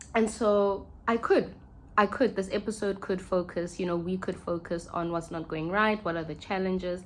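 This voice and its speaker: A woman with a South African accent speaks at medium pitch. Her pace is moderate and her intonation fairly even. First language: Sesotho. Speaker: podcast host. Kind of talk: reflective monologue. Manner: halting.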